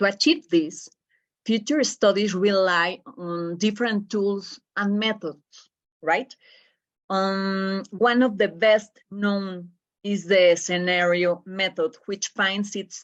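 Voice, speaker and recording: A woman speaks with a strong Spanish accent at a medium pitch. She goes at a very slow pace, with ordinary pitch variation. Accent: Spanish accent, self-described as strong. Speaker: professor. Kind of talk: lecture. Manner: halting.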